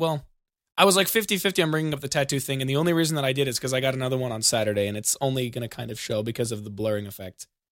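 This man talks very fast with lively intonation and a fairly high pitch, in an American accent. The recording is very clean with a silent background. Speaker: podcast host and streamer. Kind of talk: casual chat.

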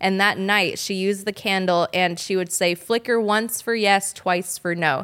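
Using an ordinary speaking voice, a woman with an American accent talks at medium pitch and a moderate pace, with fairly even intonation and very even loudness. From Southern California (Orange County). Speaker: psychic medium, actress. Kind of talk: casual interview chat. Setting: studio.

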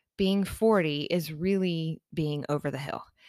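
A woman with an unremarkable speaking voice and ordinary pitch variation speaks at a fairly slow pace in a very clean recording with a silent background. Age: 40s. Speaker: podcast host. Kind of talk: casual monologue. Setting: home office. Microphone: new podcast microphone.

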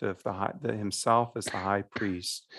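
At a moderate pace, a man talks at a fairly low pitch with fairly even intonation. The background is quiet. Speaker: parish priest. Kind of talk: casual chat. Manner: halting.

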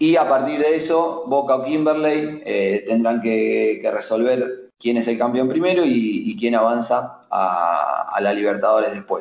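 A man speaks at a fairly slow pace with hardly any pauses. His loudness stays very even. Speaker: futsal journalist. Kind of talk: sports analysis interview.

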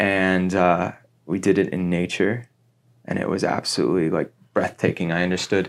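A man with an American accent and a very deep, low pitch speaks at a moderate pace with ordinary pitch variation, in a very clean recording with a silent background. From US Midwest (Cincinnati, Ohio). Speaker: actor and spiritual guide. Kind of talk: casual interview chat.

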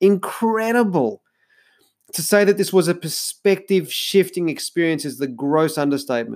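A man with an Australian accent speaks at a moderate pace in a high voice with lively intonation, on a very clean recording with a silent background. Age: 40s. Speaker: podcast host, life coach. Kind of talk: solo podcast monologue.

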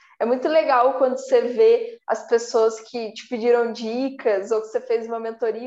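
Over a quiet background, a woman with a high pitch and a dark, mellow tone speaks at a moderate pace. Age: 20s. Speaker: entrepreneur. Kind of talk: interview chat.

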